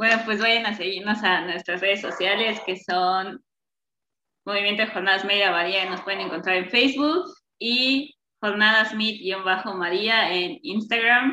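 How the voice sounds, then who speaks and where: At a fairly slow pace, a woman uses a normal speaking voice at a medium pitch with ordinary pitch variation. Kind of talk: casual chat.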